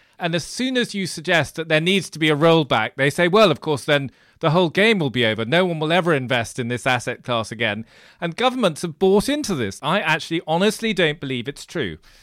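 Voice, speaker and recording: A man with a British accent talks fairly quickly at a fairly high pitch with very wide pitch swings, on a very clean recording with a silent background. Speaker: podcast host and financial journalist. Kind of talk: interview.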